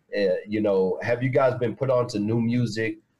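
Moderately paced, a man speaks at a medium pitch. His voice is somewhat breathy. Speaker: panelist. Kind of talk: casual chat. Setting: video call.

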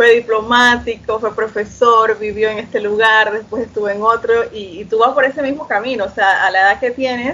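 A woman speaks at a moderate pace in a normal speaking voice, her fairly high pitch following a fairly even intonation. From Panama, Chiriquí. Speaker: podcast host. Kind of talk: interview.

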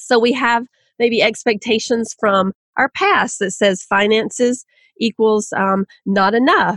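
With a fairly high pitch and ordinary pitch variation, a woman speaks at a fairly slow pace in a dry, close sound with no echo. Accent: Southern US. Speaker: author. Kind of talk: podcast interview.

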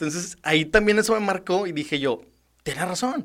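A man's high voice in a Mexican accent. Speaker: public servant. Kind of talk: casual interview chat.

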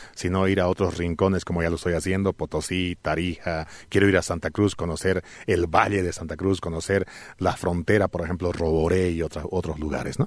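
A man with a very deep, low pitch at a fairly quick pace, dry and close with no echo, over a quiet background. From Bolivia, Alto Beni (La Paz department lowlands). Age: 40s. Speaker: travel content creator. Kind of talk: interview. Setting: studio.

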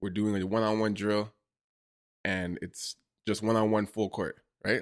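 A man speaks in a Toronto accent at a fairly low pitch, his intonation monotone and flat. The recording is very clean, with a silent background. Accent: Toronto Canadian English. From Toronto, Canada. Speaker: photographer and content creator. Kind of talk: casual interview.

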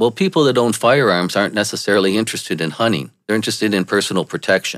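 In a very clean recording with a silent background, a man with an American accent uses an unremarkable speaking voice, fairly low in pitch, with lively intonation. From Michigan, US. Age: 50s. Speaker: political commentator. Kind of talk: monologue.

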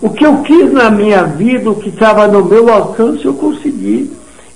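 Someone speaks at a fairly slow pace amid audible room echo and noticeable background noise. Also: man. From southern Brazil, Rio Grande do Sul. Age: 80s+. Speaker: retired businessman. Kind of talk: radio interview. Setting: radio studio. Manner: animated.

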